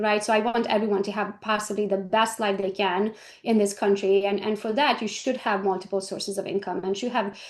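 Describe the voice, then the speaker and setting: A woman with a Hungarian accent speaks at a moderate pace. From Romania (Hungarian minority). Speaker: real estate agent and trainer. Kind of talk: interview.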